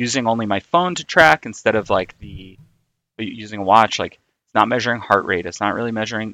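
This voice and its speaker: A man with an American accent speaks at a moderate pace in a fairly low pitch with a bright, sharp tone, recorded dry and close with no echo against a quiet background. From New York City, Queens. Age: 30s. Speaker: amateur runner. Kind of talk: casual chat.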